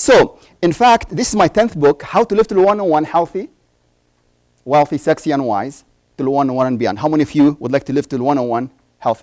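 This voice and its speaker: With lively intonation, a man talks at a fairly quick pace in a fairly high voice. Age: 60s. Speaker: doctor and conference speaker. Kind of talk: conference talk. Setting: stage with audience. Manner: animated.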